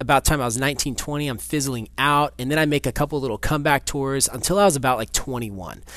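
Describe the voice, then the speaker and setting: A fairly high-pitched man talking at a very fast pace. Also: ordinary pitch variation, hardly any pauses. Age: 20s. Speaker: podcast host and cycling strength coach. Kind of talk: casual solo podcast talk.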